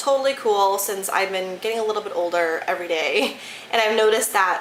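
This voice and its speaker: Over noticeable background noise and audible room echo, a woman with an American accent talks at a fairly quick pace, her medium pitch showing ordinary variation. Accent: Michigan accent, shows at times. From Detroit, Michigan. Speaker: beauty YouTuber. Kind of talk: casual product review vlog. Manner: animated, enthusiastic.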